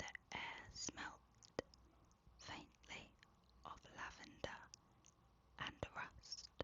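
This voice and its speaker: The speaker's whisper moves at a very slow pace, broken by long, frequent pauses. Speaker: ASMR creator. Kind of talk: whispered spooky bedtime story. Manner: soft-spoken.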